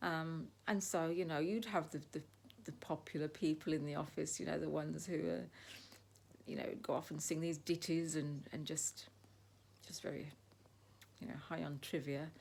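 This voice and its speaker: The speech moves at a moderate pace with vocal fry and long, frequent pauses. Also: woman, very deep, low pitch for a woman, ordinary pitch variation. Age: 60s. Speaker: lifestyle vlogger. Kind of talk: casual monologue. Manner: hesitant, many fillers.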